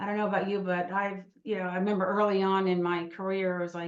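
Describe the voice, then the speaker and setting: Audible room echo surrounds a woman speaking with an American accent at a medium pitch and fairly even intonation. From New Jersey. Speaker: lawyer and mediator. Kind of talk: lecture. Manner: fast.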